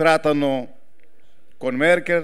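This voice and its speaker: Very slowly, a man speaks. His pitch is fairly high. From Greece. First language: Greek (speaking Italian). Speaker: politician. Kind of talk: political speech. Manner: halting. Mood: earnest, solemn. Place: stage. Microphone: handheld.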